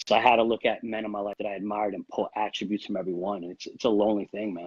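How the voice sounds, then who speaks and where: This man talks at a very fast pace in an American accent with a fairly low pitch. His intonation is monotone and flat, while his loudness swings a lot. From New York. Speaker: real estate agent. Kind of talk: interview.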